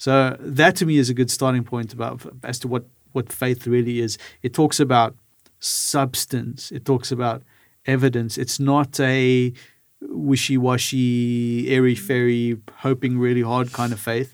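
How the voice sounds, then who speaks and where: Over a silent background in a very clean recording, a man speaks at a fairly slow pace in an ordinary speaking voice with fairly even intonation. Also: medium pitch for a man. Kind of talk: casual panel discussion.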